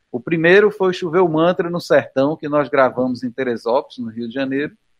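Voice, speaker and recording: With an ordinary speaking voice, a man talks at a moderate pace and a fairly high pitch, using ordinary pitch variation. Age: 50s. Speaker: musician. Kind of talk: interview.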